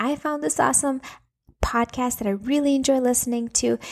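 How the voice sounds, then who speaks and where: A woman with an ordinary speaking voice talks at a fairly quick pace and a fairly high pitch, with ordinary pitch variation, on a very clean recording with a silent background and a dry, close sound with no echo. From Latvia, then Minnesota from age nine. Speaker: podcaster, parenting coach for moms. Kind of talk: casual monologue podcast. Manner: chatty, filler-heavy.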